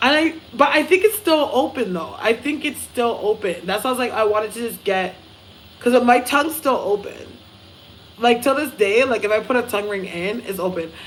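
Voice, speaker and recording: A woman speaks with a high pitch and lively intonation at a moderate pace. Noticeable background noise runs behind her. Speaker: psychic medium livestreamer. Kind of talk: casual live stream chat. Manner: slight slurring and mumbling at times; clear enunciation from acting training.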